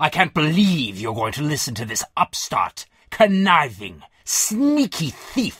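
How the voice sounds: Putting on a character voice, a man talks at a slow pace with a fairly high pitch, big pitch swings, a fairly bright tone and a slightly husky edge.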